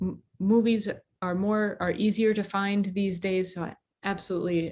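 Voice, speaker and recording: A woman's fairly slow, fairly even speech against a quiet background. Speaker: language teacher. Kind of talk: tutorial. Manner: slow, deliberate speech for learners.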